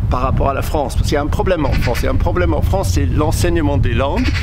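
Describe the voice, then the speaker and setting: Noticeable background noise sits behind a man who speaks with a British accent. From Cornwall, England. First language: English (speaking French). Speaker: journalist. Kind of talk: talk to camera. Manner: halting.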